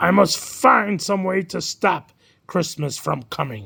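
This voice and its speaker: A man's put-on character voice, high-pitched, raspy and growling, with lively intonation at a fairly slow pace. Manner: growling, grumpy.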